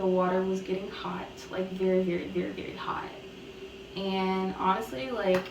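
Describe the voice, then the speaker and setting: The woman's intonation is monotone and flat. Room echo is audible, and background noise is noticeable. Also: medium pitch for a woman, moderate pace. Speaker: YouTuber sharing personal testimony. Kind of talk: testimony. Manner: casual, filler-heavy.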